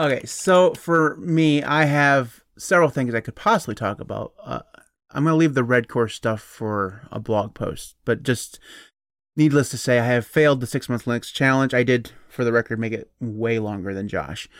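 A man with an ordinary speaking voice at a medium pitch, ordinary pitch variation and a moderate pace, in a very clean recording with a silent background. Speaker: podcast host. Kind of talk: casual chat. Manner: joking, tangent-prone.

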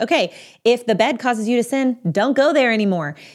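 Music can be heard in the background. Over it, a woman talks fairly quickly. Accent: American. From Texas. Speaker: marriage and family therapist. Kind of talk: advice monologue answering a listener question.

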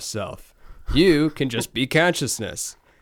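Recorded very cleanly against a silent background, a man speaks at a fairly slow pace with a fairly high pitch. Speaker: guest. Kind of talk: casual chat. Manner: animated, joking.

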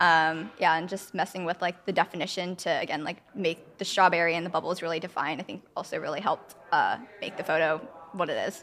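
With an American accent, a woman talks in an unremarkable speaking voice at a fairly low pitch, fairly quick pace and fairly even intonation. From San Francisco, US. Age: 20s. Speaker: photographer. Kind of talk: interview.

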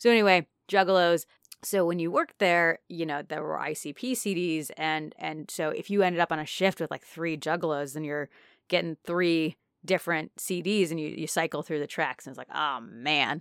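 A woman's normal speaking voice, fairly low in pitch, with an American accent, ordinary pitch variation and a moderate pace, in a very clean, dry, close recording with no echo and a silent background. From Naperville, Illinois. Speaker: podcast co-host. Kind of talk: casual chat.

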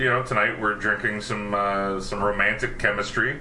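Noticeable background noise runs under speech at a fairly quick pace. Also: man. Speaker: actor and podcast host. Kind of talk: casual chat.

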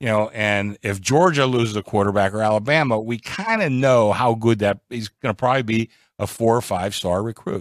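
Recorded very cleanly against a silent background with a dry, close sound and no echo, a man with an unremarkable speaking voice and medium pitch talks at a fairly quick pace with ordinary pitch variation and hardly any pauses. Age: 60s. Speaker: sportsbook oddsmaker. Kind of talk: casual sports betting talk. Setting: studio.

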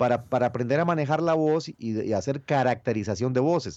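With a Costa Rican accent, a man talks at a moderate pace in a dark, mellow tone over a quiet background. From Costa Rica, rural Cafetal area. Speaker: voice actor. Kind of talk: interview. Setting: phone call.

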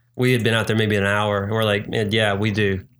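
Heard in a very clean recording with a silent background, a man speaks at a fairly low pitch. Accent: Southern US. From North Carolina and Virginia, US. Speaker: singer-songwriter. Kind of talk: casual chat.

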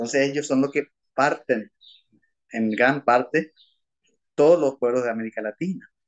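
Ordinary pitch variation at a moderate pace, with a dry, close sound and no echo. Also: man. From Paraguay, Asunción. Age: 60s. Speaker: lawyer and former teacher and priest. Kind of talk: interview.

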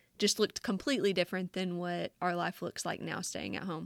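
With a strong Southern US accent, a woman speaks at a fairly quick pace in a dry, close sound with no echo. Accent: thick Southern US. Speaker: podcast host. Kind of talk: casual chat, interview.

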